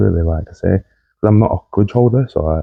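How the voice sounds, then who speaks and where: A man speaks in a dark, mellow tone that is somewhat breathy, with ordinary pitch variation and a dry, close sound with no echo. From northern England, Lancashire. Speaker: podcast host's husband, guest. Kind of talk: casual chat. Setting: podcast recording.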